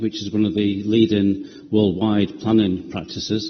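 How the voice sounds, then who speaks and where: With a Yorkshire accent, a man with a fairly low pitch talks at a moderate pace amid noticeable background noise and audible room echo. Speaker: property developer. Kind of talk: committee presentation. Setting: council committee meeting. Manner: hesitant, many ums and uhs.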